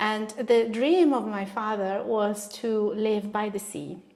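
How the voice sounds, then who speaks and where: A woman speaks with an Italian accent. Her pitch is fairly high. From northern Italy, Bologna. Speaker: artist. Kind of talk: interview.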